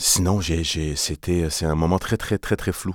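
A man with a very deep, low pitch speaks with fairly even intonation on a very clean recording with a silent background. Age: 30s. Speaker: theatre artist. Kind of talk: interview. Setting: studio. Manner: halting.

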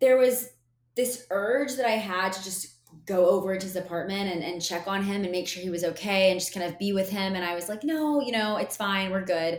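A woman with an unremarkable speaking voice talks at a fairly quick pace. Her pitch varies in an ordinary way. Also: medium pitch for a woman. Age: 20s. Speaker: podcast host, business coach, former TV reporter. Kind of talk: solo podcast monologue. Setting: solo podcast recording. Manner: casual, chatty.

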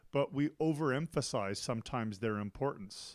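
A man with a Canadian accent uses a normal speaking voice at a medium pitch, his intonation lively, on a very clean recording with a silent background. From Canada. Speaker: school principal. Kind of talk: casual chat.

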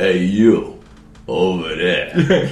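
A man does a put-on character voice with a New York accent and a very deep, low pitch. Audible echo surrounds his voice. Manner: brash, gruff.

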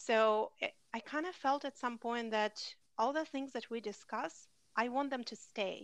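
Over a quiet background, a woman speaks with a high pitch. Her pace is fairly slow. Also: ordinary pitch variation. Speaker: podcast host. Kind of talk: casual chat.

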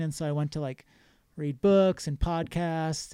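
Recorded very cleanly against a silent background, a man talks at a moderate pace. His fairly high voice has a dark, mellow tone and fairly even intonation. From New Hampshire, US. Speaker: paramedic and author. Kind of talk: casual interview.

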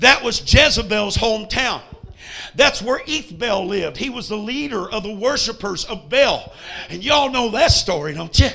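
A man speaks in an extremely high pitch with an animated tone and a raised, projected voice at a moderate pace. Noticeable background noise sits behind him. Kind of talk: sermon in a revival meeting, preacher in full flow. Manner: animated, rousing, call-and-response with the congregation; folksy storyteller, comic asides and jokes.

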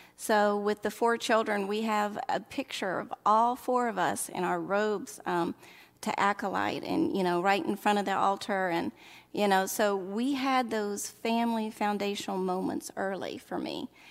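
A woman with a Southern US accent speaks at a fairly slow pace in a medium pitch, with ordinary pitch variation, on a very clean recording with a silent background. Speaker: early childhood minister, church staff. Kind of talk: casual interview conversation.

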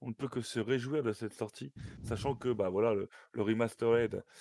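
A man's medium-pitched voice comes through with a dry, close sound and no echo. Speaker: gaming show host. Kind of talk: casual chat. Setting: online call.

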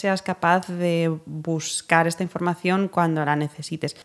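A normal speaking voice with fairly even intonation, delivered at a fairly slow pace. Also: woman, very clean recording, silent background. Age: 30s. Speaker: podcast host. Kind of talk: interview.

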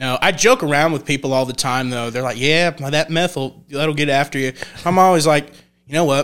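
A man with a fairly high voice talks at a fairly quick pace, his intonation fairly even. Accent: Texan. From North Texas (Olney, Young County). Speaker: country singer-songwriter. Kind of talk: casual chat.

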